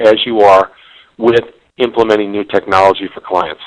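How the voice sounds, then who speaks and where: The sound of this man's voice is dry and close, with no echo. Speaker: business consultant and webinar presenter. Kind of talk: webinar presentation. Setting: online webinar. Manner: fast.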